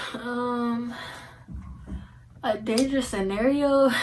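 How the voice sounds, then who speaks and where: A woman with an American accent, fairly high in pitch, with fairly even intonation and audible room echo. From Indianapolis, Indiana, US Midwest. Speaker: YouTuber. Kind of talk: casual Q&A vlog. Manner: casual, filler-heavy.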